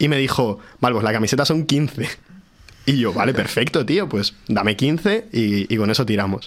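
At a moderate pace, an unremarkable speaking voice moves with lively intonation while its loudness stays very even. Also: man, medium pitch for a man. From Madrid region (Pozuelo). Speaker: guitarist. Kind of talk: casual chat.

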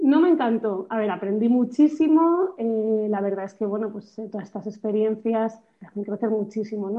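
A woman's fairly high voice holds a moderate pace. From Spain, Madrid. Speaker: nonprofit founder. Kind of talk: interview. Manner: halting, with many repetitions.

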